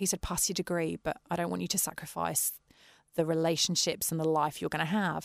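Speaking at a fairly quick pace in an English accent, a woman has a fairly low pitch, vocal fry, monotone, flat intonation and very even loudness, on a very clean recording with a silent background. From West Country, England. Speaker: orchestra founder and violist. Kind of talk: interview.

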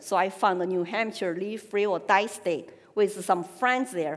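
Amid noticeable background noise, a woman talks at a fairly slow pace and medium pitch with ordinary pitch variation. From China (Sichuan, Chengdu). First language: Sichuan Chinese. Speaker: political activist and speaker. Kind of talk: personal testimony speech. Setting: stage with audience.

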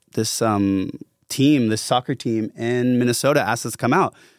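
This man has an unremarkable speaking voice, medium in pitch, and he speaks at a moderate pace with an American accent and fairly even intonation on a very clean recording with a silent background. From US South (Atlanta, Georgia). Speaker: musician. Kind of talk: casual chat.

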